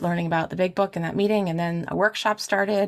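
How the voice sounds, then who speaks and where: The speaker is a woman with a fairly low pitch. Her intonation stays fairly even. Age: 40s. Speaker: podcast host sharing recovery story. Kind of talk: interview testimony. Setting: video call. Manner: halting, with many fillers and restarts.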